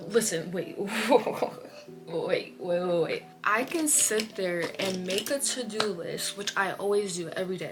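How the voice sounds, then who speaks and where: Music plays in the background as a woman with an American accent speaks at a fairly slow pace with lively intonation. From Iowa, USA. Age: 20s. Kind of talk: casual chatty talk to camera. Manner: chatty, rambling.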